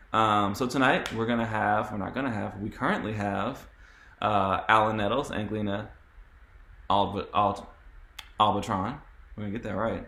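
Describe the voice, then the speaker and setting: A man's fairly low voice with a bright, sharp tone, monotone, flat intonation, long and frequent pauses, and audible room echo. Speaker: panel moderator. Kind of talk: moderated panel discussion. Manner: fast.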